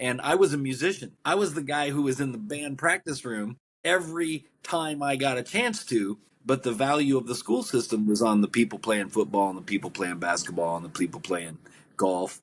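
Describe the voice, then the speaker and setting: Here a man speaks at a medium pitch and a moderate pace. His voice swings very widely in pitch. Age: 60s. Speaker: author. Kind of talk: podcast interview. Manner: conversational, occasionally halting.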